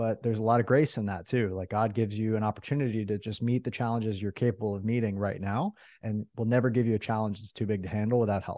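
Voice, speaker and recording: A man's very fast, dark and mellow voice with hardly any pauses, against a quiet background. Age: 30s. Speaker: entrepreneur and mastermind coach. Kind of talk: interview. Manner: energetic.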